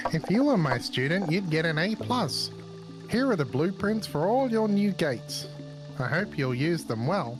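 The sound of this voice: Over loud music in the background, a nasal, put-on character voice speaks at a moderate pace. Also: man, fairly high pitch for a man.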